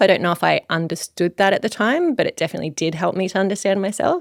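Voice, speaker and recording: A woman's voice with ordinary pitch variation, on a very clean recording with a silent background. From Australia, Gold Coast, Queensland. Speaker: clinical psychologist. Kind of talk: podcast interview.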